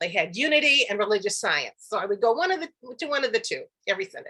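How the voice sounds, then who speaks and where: Her tone bright and sharp, this woman has an American accent. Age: 70s. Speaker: actress and comedian. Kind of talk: podcast interview.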